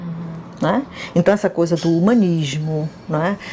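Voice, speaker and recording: A woman speaking over noticeable background noise. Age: 60s. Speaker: former student. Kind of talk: interview testimony.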